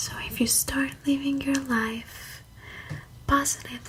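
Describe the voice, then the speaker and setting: A woman's soothing whisper at a very slow pace over noticeable background noise. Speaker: ASMR creator. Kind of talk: ASMR personal attention with positive affirmations. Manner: soft-spoken, slow, soothing.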